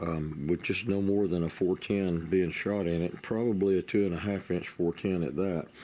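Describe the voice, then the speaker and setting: A man's very deep, low voice with a dark, mellow tone, at a moderate pace with hardly any pauses. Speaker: gunstock maker. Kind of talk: workshop tutorial. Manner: halting, with fillers.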